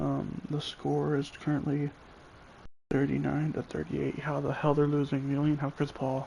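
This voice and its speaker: A man is whispering. The background is quiet. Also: moderate pace. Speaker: gamer streaming gameplay. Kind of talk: casual live-stream commentary.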